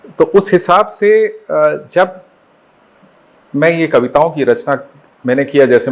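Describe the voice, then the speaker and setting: A man speaks with lively intonation. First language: Bengali (speaking Hindi). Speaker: poet and educator. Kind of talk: interview. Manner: formal; hesitant, with fillers.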